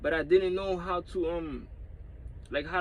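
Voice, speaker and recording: Pitched high, a man's voice moves at a moderate pace. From New York (Dominican family, moved as a child). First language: Spanish. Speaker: YouTuber. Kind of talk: casual vlog with reading aloud. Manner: halting, many repetitions; casual slangy, swearing.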